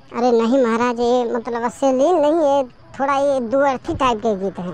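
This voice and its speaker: A woman's high, cartoonish character voice at a fairly quick pace, with ordinary pitch variation and light background noise. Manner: deferential, says "maharaj" often.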